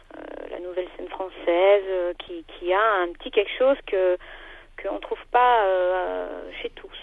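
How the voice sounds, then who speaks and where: Pitch is medium for this woman, with ordinary variation. She talks fairly slowly, her loudness swinging widely. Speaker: singer. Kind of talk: radio interview. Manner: hesitant, many fillers.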